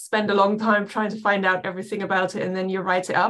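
At a fairly quick pace, a woman with a German accent talks at a medium pitch. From Germany, west near Dutch border. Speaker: professor. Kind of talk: interview.

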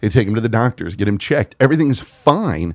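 An animated man with an American accent speaks at medium pitch with lively intonation. The sound is dry and close with no echo. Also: very clean recording, silent background. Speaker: podcast host. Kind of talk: casual chat, profane banter. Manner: animated, jokey.

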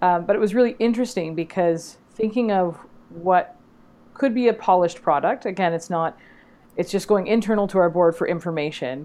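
Her pace is fairly quick and her pitch medium, with ordinary pitch variation. This woman has a normal speaking voice. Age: 40s. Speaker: educational technology coach. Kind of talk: casual chat.

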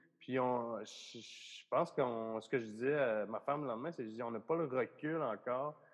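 A man's medium-pitched voice with ordinary pitch variation and big swings in loudness. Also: moderate pace. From Quebec, Bas-Saint-Laurent region. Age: 30s. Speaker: comedian. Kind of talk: casual chat.

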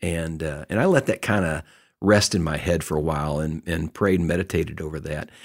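A man with a Texan accent and a very deep, low pitch talks at a fairly quick pace with ordinary pitch variation, in a very clean recording with a silent background. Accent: Texan American. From Texas. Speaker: retired businessman and lay ministry leader. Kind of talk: casual interview.

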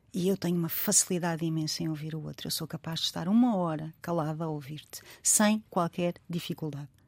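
A woman with an unremarkable speaking voice talks fairly quickly at a fairly low pitch, with hardly any pauses. Her intonation is fairly even, and the sound is dry and close with no echo. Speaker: writer. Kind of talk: interview.

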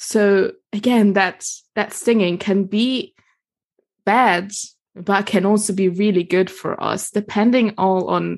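Fairly even intonation marks this very slowly delivered speech. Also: woman. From Germany and Italy. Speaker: herbalist and women's circle facilitator. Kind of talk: casual interview chat.

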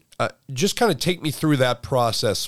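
A man talks at a fairly quick pace in an ordinary speaking voice with ordinary pitch variation. The recording is very clean, with a silent background. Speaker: podcast host.

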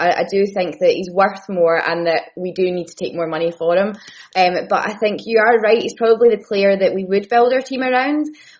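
A woman talks at a fairly quick pace and a medium pitch. She has a plain, everyday voice. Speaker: football fan guest. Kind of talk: casual football discussion.

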